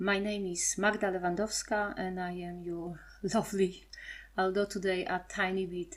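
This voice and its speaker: A woman speaks with a strong Polish accent and fairly even intonation. The recording is very clean, with a silent background. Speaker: podcast host.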